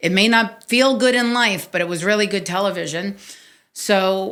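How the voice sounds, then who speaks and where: Speaking at a moderate pace, a woman with a New York accent has a bright, sharp tone. The recording is very clean, with a silent background. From New York City, Staten Island. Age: 50s. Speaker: podcast host. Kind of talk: interview, telling own life story. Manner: animated.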